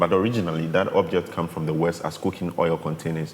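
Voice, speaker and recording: A man with a Ghanaian accent and a very deep, low pitch, over noticeable background noise. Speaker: artist. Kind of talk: interview. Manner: halting.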